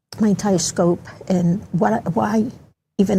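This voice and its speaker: The speaker uses a Mid-Atlantic accent, with vocal fry and fairly even intonation. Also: woman. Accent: American, Mid-Atlantic. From Baltimore County, Maryland (born El Salvador, moved at 10). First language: Spanish. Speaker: community advocate, guest. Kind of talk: interview. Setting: studio.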